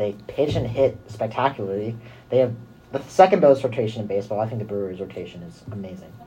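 A man with an American accent talks at a very fast pace, somewhat breathy, at a medium pitch. His pitch varies in an ordinary way while his loudness swings widely. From US West Coast, San Francisco Bay Area. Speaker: college radio co-host. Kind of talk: casual sports talk. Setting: studio.

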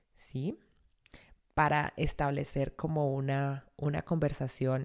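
In a very clean recording with a silent background, a woman with a very deep, low pitch speaks at a very slow pace. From Colombia, Vélez (Santander). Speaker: language teacher. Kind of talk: language lesson.

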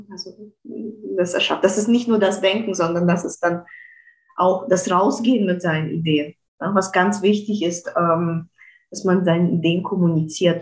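A woman's somewhat breathy voice at a fairly slow pace with fairly even intonation. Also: medium pitch for a woman. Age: 30s. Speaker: physicist and creativity coach. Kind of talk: interview conversation. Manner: frequent hesitations.

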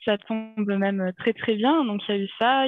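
The speaker is a woman. Her pitch is medium. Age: 30s. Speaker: interviewee sharing personal medical story. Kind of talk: personal testimony in interview. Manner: halting with many hesitations.

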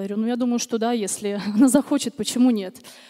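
A woman's dark, mellow voice at a very fast pace with fairly even intonation. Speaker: churchgoer giving testimony. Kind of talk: testimony. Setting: church service with congregation.

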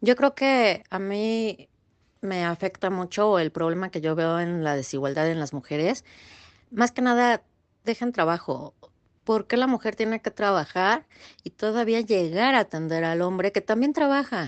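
In an unremarkable speaking voice, a woman of medium pitch talks at a fairly slow pace with lively intonation. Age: 30s. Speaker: assistant. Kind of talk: recorded interview answers.

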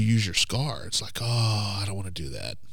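This man speaks with an American accent and ordinary pitch variation. Audible room echo surrounds his voice. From rural southern Oklahoma. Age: 40s. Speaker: pastor. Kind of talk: casual interview with personal testimony.

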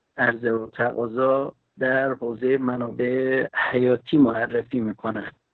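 Speaking at a very slow pace, a man keeps a monotone, flat intonation. His pitch is medium. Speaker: geopolitics expert. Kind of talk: lecture-style panel talk.

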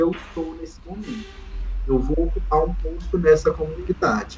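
Moderate tempo and lively intonation against noticeable background noise. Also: man. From Brazil, Goiás (Caldas). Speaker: master's student in communication. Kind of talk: casual chat.

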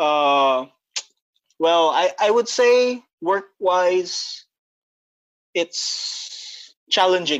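Speaking very slowly and high-pitched, a man leaves long, frequent pauses. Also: lively intonation, very even loudness. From Indonesia (Batam), Filipino family. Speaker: business development executive. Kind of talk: casual chat. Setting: video call.

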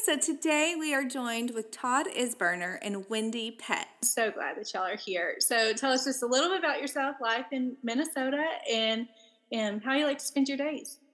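A woman with a Texan accent speaks in a high pitch. Her pace is moderate, with ordinary pitch variation. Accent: Texan Southern US. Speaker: podcast host and author. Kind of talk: casual interview with scripted intro and outro.

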